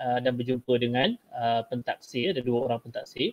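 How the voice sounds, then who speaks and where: A man talks at a moderate pace at a medium pitch. It is a plain, everyday voice. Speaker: Malay language teacher. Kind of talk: tutorial, exam technique talk. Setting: video call webinar, screen share.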